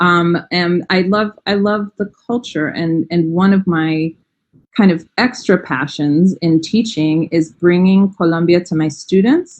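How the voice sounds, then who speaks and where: With an American accent, a woman talks at a fairly slow pace in a fairly low pitch, using ordinary pitch variation. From New York. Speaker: language educator. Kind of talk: interview.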